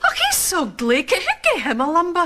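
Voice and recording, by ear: Using a put-on character voice, a woman speaks at a fairly quick pace in an extremely high pitch, with a bright, sharp tone and very wide pitch swings.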